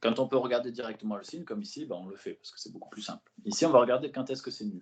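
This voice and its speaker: Talking at a very fast pace, a man uses lively intonation and big swings in loudness. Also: medium pitch for a man. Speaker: math tutor. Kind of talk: tutoring lesson. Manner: relaxed, encouraging.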